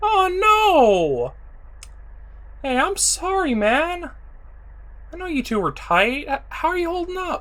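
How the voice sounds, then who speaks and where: This put-on character voice moves at a fairly slow pace with long, frequent pauses and very wide pitch swings. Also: woman, extremely high pitch for a woman. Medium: audio drama. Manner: curt, irritable.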